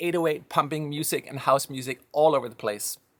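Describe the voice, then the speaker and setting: A man talks at a very fast pace with a slight Danish accent. His pitch is fairly high. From Denmark. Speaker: music software company founder. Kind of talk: casual monologue.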